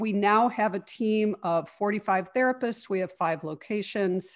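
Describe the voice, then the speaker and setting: A woman with a normal speaking voice and an American accent, at a moderate pace against a quiet background. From Chicago, US Midwest. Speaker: therapy practice founder, psychologist. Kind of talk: interview.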